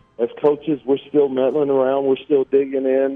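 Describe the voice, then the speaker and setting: A man speaks with an American accent while music plays in the background. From US Midwest (Kansas City, Missouri). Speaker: college basketball assistant coach. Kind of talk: radio interview.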